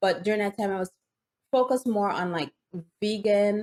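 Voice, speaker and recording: In a Jamaican accent, a woman talks at medium pitch, the sound dry and close with no echo. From Jamaica, rural Hanover Parish. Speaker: nurse and vegan juicing content creator. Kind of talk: interview conversation.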